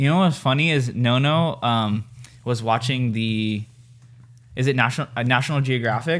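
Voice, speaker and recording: A man with a Californian accent at medium pitch, moderate pace, very even loudness and ordinary pitch variation. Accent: Californian American. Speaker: podcast co-host. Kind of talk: casual chat. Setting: home room.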